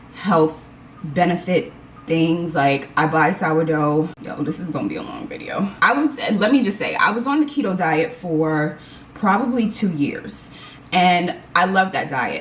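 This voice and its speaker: A woman's medium-pitched voice at a fairly slow pace, with very wide pitch swings and noticeable background noise. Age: 40s. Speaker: lifestyle vlogger. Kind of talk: casual chat. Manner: animated.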